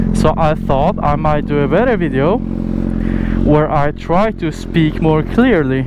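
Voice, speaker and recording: There is audible room echo and noticeable background noise. A man with a fairly high voice speaks at a very slow pace. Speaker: motorcycle vlogger. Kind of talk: casual motovlog while riding. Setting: outdoors on a motorcycle. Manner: slow, deliberate to speak clearly; hesitant, filler words.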